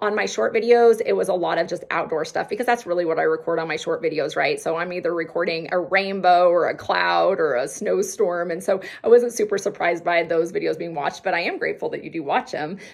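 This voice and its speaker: Animated and very fast, a woman talks with hardly any pauses. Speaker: health vlogger. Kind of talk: casual vlog talk to viewers.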